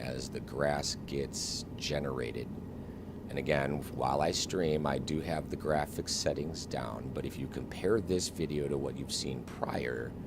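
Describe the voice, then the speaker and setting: A soft-spoken man with an American accent talks at a moderate pace in a very deep, low voice. Noticeable background noise and audible room echo fill the recording. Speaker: flight simulator streamer. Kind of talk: live gameplay stream commentary.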